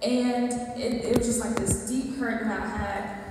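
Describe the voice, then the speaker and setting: A high-pitched woman with an American accent, at a very slow pace, amid strong room echo and light background noise. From US South, rural Georgia. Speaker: church member giving testimony. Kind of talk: testimony. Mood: earnest, emotional. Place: hall.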